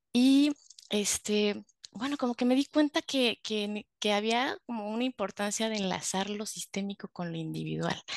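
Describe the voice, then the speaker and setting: In a dry recording with no echo and a quiet background, a woman speaks at a fairly slow pace with ordinary pitch variation. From Mexico City. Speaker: therapist; guest. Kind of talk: casual interview. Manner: hesitant, many fillers. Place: home room. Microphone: headset.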